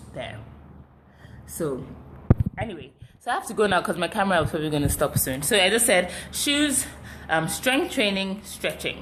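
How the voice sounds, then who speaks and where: Noticeable background noise surrounds the speaker. She is a woman with a medium pitch. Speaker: fitness live streamer. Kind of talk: live stream chat with viewers. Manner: fast.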